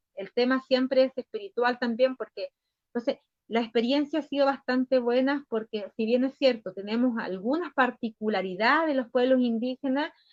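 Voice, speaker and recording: Pitched high, a woman's voice shows ordinary pitch variation. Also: moderate pace. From northern Chile, Aymara people. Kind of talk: interview answer.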